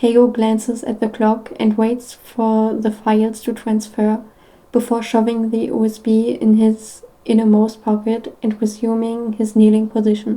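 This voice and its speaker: A woman with a non-native accent speaks at a fairly slow pace in a fairly high pitch. Her dark, mellow tone is somewhat breathy, with monotone, flat intonation. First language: not English. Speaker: podfic reader. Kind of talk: reading aloud. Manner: halting, with stumbles and restarts.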